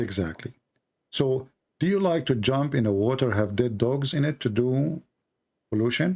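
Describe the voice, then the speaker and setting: At a moderate pace with long, frequent pauses, a man of medium pitch talks with lively intonation and very even loudness. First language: not English. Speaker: debate host. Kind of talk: heated debate. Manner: confrontational, pressing; halting, repetitive.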